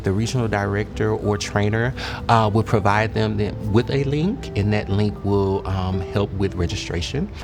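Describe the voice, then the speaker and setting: With music behind him, a man keeps a moderate pace, his fairly low pitch showing ordinary variation. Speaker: youth programs director and suicide prevention trainer. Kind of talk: interview answer. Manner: earnest, hesitant with filler words.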